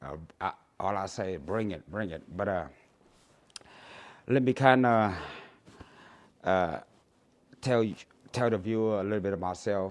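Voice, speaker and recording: A man with a Cambodian accent and long, frequent pauses. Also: fairly low pitch for a man, ordinary pitch variation, moderate pace. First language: Khmer. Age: 60s. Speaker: YouTuber. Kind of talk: casual vlog monologue. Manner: halting, many fillers.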